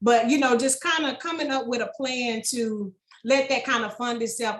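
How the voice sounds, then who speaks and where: A woman with an American accent, a fairly high pitch, fairly even intonation and a fairly quick pace. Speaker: small business owner. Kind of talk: podcast interview. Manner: fast; casual.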